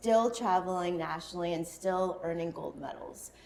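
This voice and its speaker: A woman's voice with ordinary pitch variation, amid noticeable background noise. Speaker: podcast host. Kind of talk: podcast interview questions.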